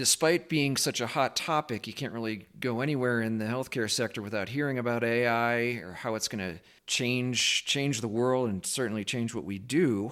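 Recorded very cleanly against a silent background, a man uses an ordinary speaking voice at a moderate pace, with a medium pitch and ordinary pitch variation. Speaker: podcast host. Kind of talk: interview conversation.

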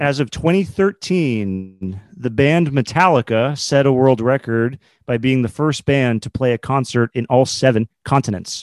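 With hardly any pauses, a man talks fairly slowly in an unremarkable speaking voice at a medium pitch with ordinary pitch variation, on a very clean recording with a silent background and a dry, close sound with no echo. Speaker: quiz contestant.

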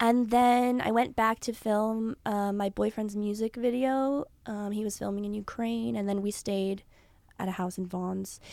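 In a Californian accent, a woman speaks at a fairly slow pace with a fairly high pitch and fairly even intonation. The recording is very clean, with a silent background. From Los Angeles, San Fernando Valley. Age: 20s. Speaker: actress. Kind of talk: casual chat.

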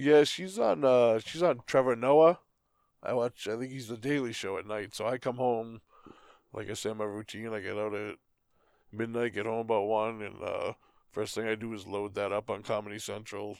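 A man with a Boston accent at medium pitch, ordinary pitch variation and a moderate pace, on a very clean recording with a silent background. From Boston area, US. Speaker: podcast co-host. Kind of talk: casual chat.

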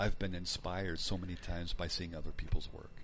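Someone speaks at a very fast pace with fairly even intonation, and the room echo is audible. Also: man. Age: 50s. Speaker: wargaming podcast co-host. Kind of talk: casual chat.

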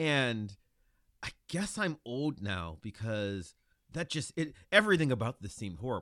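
A man's medium-pitched voice with an Ohio accent, a bright, sharp tone, very wide pitch swings and a moderate pace, over a quiet background. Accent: Midwestern US (Ohio). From Ohio, Lorain near Cleveland. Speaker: podcaster guest. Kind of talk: casual chat.

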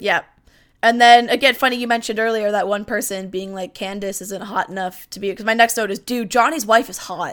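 Fairly quick pace and an animated tone with big swings in loudness, in a very clean recording with a silent background. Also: woman, fairly high pitch for a woman. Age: 20s. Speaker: wrestling podcast co-host. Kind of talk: casual chat.

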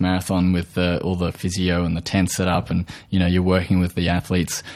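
In an Australian accent, a man speaks with a very deep, low pitch. The recording is very clean, with a silent background. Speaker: podcast host, nutritional therapist. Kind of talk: interview. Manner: halting, many fillers.

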